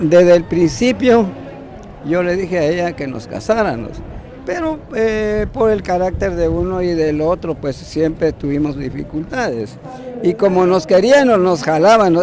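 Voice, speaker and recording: A man with a high pitch speaks at a fairly slow pace. His intonation is lively, and noticeable background noise runs underneath. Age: 70s. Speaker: newlywed interviewee. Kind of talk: news interview soundbite.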